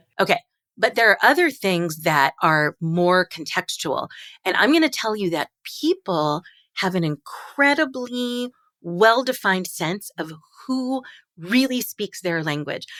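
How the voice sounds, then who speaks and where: A woman with an American accent speaks at a fairly slow pace in a bright, sharp, animated tone with very wide pitch swings. The recording is very clean and dry, close and echo-free over a silent background. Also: medium pitch for a woman. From Long Island, New York. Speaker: linguist. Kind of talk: interview conversation.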